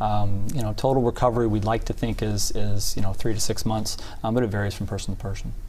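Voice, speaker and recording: A man with an American accent and a fairly low pitch speaks at a very fast pace in a monotone, flat intonation, somewhat breathy with a dark, mellow tone, amid audible room echo. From Indiana, US Midwest. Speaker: orthopedic surgeon. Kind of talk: TV interview. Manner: halting, many fillers.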